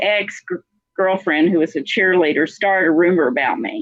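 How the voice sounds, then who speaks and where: A woman speaks at a moderate pace with an American accent. Her pitch swings very widely. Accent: Texas accent, some think it thick. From South Carolina, then Texas (Dallas) from age 13. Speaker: motivational speaker's daughter, guest. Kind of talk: interview storytelling. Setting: live video stream.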